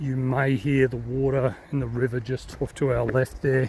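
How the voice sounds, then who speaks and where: A man talks at a moderate pace in a medium pitch. His voice is somewhat breathy. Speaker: walking vlogger. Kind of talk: travel vlog narration. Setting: outdoors walking. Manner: quiet; hesitant, many fillers.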